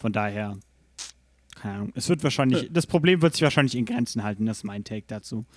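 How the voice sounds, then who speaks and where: A man at a very fast pace with lively intonation. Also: medium pitch for a man. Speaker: gaming podcast host. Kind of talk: casual chat. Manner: news-anchor-like when reading aloud.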